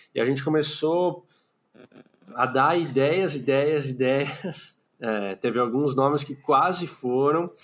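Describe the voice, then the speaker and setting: The speech is at a very slow pace with ordinary pitch variation. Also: man, fairly high pitch for a man. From São Paulo city, Brazil. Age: 30s. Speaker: podcaster, clinical psychologist. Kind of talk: casual interview chat.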